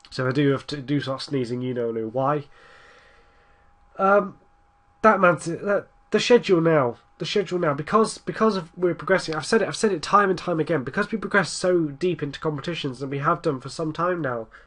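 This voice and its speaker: A man with an English accent speaks quickly, at a fairly high pitch. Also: lively intonation. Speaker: gaming commentator. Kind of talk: gameplay commentary. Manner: casual, rambling.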